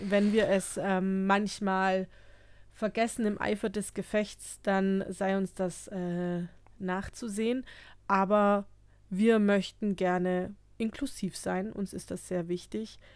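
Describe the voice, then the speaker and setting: A woman's medium-pitched voice, monotone and flat, at a very slow pace on a very clean recording with a silent background. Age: 30s. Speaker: psychotherapist and podcast co-host. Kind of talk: casual chat.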